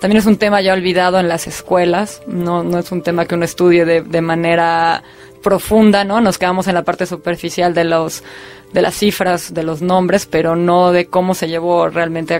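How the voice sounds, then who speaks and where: This woman has a Mexico City accent and a fairly low pitch, speaking at a moderate pace in a monotone, flat way. Noticeable background noise runs underneath. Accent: Mexico City (chilango). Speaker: film director. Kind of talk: interview.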